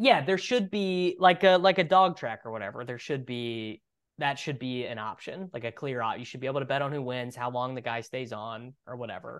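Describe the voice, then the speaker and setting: Using an ordinary speaking voice in an American accent, a man talks at a fairly quick pace with hardly any pauses. His intonation is lively and his loudness swings a lot. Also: medium pitch for a man. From Kansas. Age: 30s. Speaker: fantasy football podcaster. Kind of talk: casual chat.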